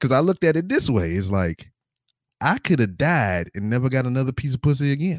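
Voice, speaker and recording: In a Southern US accent, a man speaks at a moderate pace and medium pitch with very wide pitch swings. The very clean recording has a silent background and a dry, close sound with no echo. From Louisiana. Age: 30s. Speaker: podcaster and army veteran. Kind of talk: casual chat.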